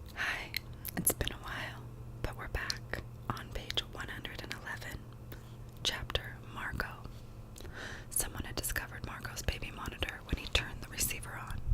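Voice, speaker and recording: Whispering from a woman at a moderate pace amid noticeable background noise. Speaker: ASMR artist. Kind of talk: whispered audiobook reading for sleep and relaxation. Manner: whispered, soft.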